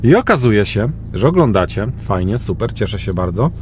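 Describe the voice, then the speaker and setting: Over light background noise, a man talks at a fairly quick pace with a dry sound and no echo. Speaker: vlogger. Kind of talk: casual vlog chat. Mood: relaxed, slightly complaining. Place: car. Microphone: phone near.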